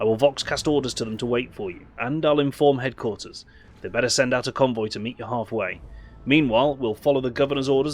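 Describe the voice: Simple, plain reading aloud.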